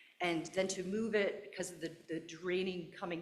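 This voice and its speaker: A woman with fairly low pitch speaks at a moderate pace. Her voice is shaky and her tone nervous. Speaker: resident giving public comment. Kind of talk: public comment at a town meeting. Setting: town board meeting. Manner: shaky, nervous voice.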